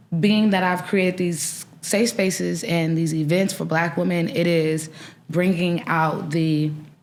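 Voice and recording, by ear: At a slow pace, a woman with an American accent talks in a fairly low pitch with fairly even intonation.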